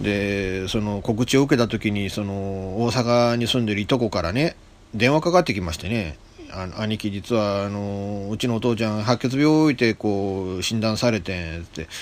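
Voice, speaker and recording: With a fairly low pitch, a man speaks at a moderate pace in a normal speaking voice. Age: 50s. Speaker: internet radio host. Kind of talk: casual solo radio talk. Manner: chatty, rambling, informal.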